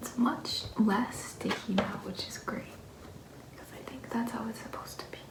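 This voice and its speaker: Someone whispers in a calm tone. There is noticeable background noise. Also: moderate pace. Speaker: vlogger. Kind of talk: casual vlog narration. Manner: soft-spoken.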